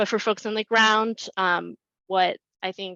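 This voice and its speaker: A woman speaks with fairly even intonation. The sound is dry and close with no echo, against a quiet background. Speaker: community housing advocate. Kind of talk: webinar presentation. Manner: fast.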